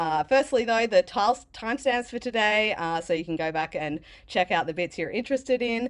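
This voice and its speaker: Against a quiet background, a woman with an Australian accent talks at a fairly quick pace with hardly any pauses. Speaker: developer advocate giving conference talk. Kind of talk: conference talk. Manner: casual, many fillers.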